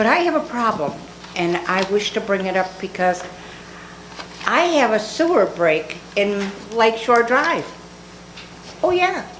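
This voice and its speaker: A woman's fairly high voice with an American accent, very wide pitch swings and very even loudness, at a fairly slow pace with long, frequent pauses, amid audible room echo and noticeable background noise. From Dunkirk, western New York. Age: 70s. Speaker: resident. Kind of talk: public comment complaint. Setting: council meeting chamber.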